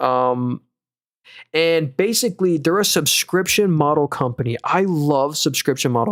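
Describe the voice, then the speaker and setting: A man speaks at a fairly high pitch with ordinary pitch variation. The sound is dry and close, with no echo. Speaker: stock market streamer. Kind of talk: live stream commentary. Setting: live stream. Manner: fast; casual.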